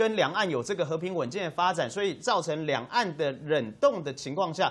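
A man is speaking. His pace is fairly quick. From Taiwan. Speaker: party spokesperson; talk show guest. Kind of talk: TV political talk show panel. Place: studio.

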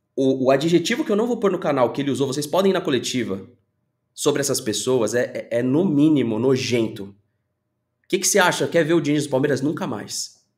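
A man talks at a fairly quick pace with lively intonation and a fairly high pitch. The background is quiet. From Brazil. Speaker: football YouTuber. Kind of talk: opinion commentary video. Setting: home studio. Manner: animated. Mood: frustrated venting. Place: home room.

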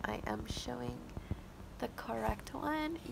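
Clear background noise accompanies a woman speaking with vocal fry.

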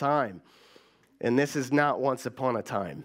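A man's speech unfolds at a moderate pace while the background stays quiet. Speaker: pastor. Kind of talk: sermon. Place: church. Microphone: headset.

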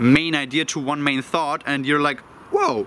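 A man's voice is heard with light background noise. The sound is dry, with no echo. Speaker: self-development vlogger. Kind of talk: casual vlog chat. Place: waterside.

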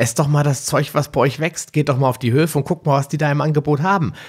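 Somewhat breathy speech at a very fast pace. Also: man, very clean recording, silent background. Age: 40s. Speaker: podcast host. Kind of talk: interview.

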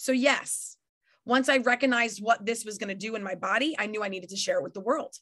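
Speaking in an American accent, a woman uses a raised, projected voice with a bright, sharp tone, an animated tone and very wide pitch swings against a quiet background. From New York. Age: 40s. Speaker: network marketing leader and trainer. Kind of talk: motivational training talk. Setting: video call. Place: home room.

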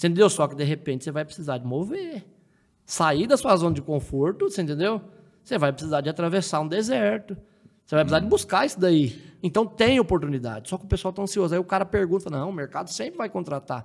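Lively intonation marks this man's high voice as he talks at a very fast pace. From southern Minas Gerais, Brazil (Delfim Moreira). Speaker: agricultural technician and tomato grower. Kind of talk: casual interview chat.

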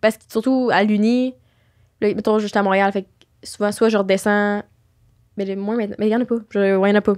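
A woman speaks in a monotone, flat way with long, frequent pauses. The background is quiet. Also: moderate pace. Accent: Quebec. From Quebec. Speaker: podcast host. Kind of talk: casual chat. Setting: studio. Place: studio. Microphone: studio mic.

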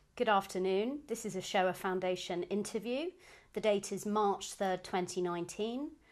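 At a moderate pace, a woman uses a normal speaking voice at a medium pitch with ordinary pitch variation. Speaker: interviewer. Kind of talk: formal interview introduction.

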